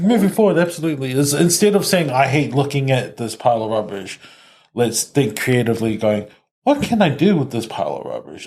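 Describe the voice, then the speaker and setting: Speaking at a fairly quick pace, a man uses a fairly high, somewhat breathy voice. His pitch swings very widely. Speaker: podcast host. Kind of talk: podcast host talk.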